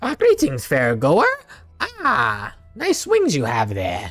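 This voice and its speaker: A man performs a put-on character voice over faint music in the background. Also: fairly slow pace. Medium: actual play. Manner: chatty, showman-like.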